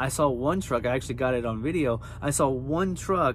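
Over light background noise, a man talks at a moderate pace with lively intonation in a dry sound with no echo. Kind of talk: casual vlog chat. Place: car. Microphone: phone near.

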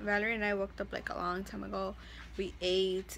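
There is light noise in the background. A woman speaks at a moderate speed. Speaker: vlogger. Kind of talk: casual vlog chat. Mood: relaxed, chatty. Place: home room. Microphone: phone near.

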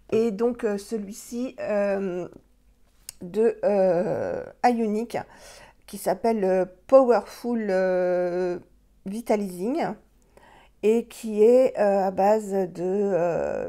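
Against a quiet background, a woman speaks with long, frequent pauses, fairly even intonation and a dark, mellow tone. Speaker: beauty vlogger. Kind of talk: product review tutorial. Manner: hesitant, many fillers. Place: home room. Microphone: phone near.

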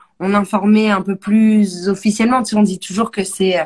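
A woman speaks at a moderate pace in a somewhat breathy voice. The background is quiet. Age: 40s. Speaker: music show host; show host. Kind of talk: casual interview; casual live stream chat. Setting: home. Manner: animated. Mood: relaxed, smiling. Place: home room. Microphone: phone near.

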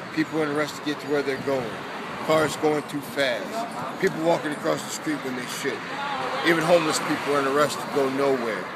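Loud background noise sits behind a man talking at a fairly quick pace, fairly high pitched, with ordinary pitch variation. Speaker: spoken word poet. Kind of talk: spoken word poetry performance. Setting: outdoors. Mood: calm, reflective. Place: street. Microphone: phone near.

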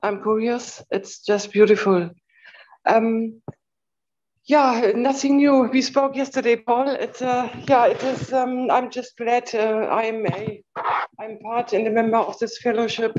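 A woman with a fairly high voice speaks at a fairly slow pace and fairly even intonation over light background noise. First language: non-native English speaker. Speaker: fellowship participant. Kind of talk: testimony. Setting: video call. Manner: halting. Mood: warm, grateful. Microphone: video call.

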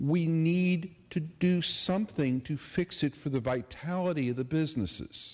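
A man speaks at a fairly slow pace. His voice is somewhat breathy. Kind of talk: public debate speech. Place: hall. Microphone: podium.

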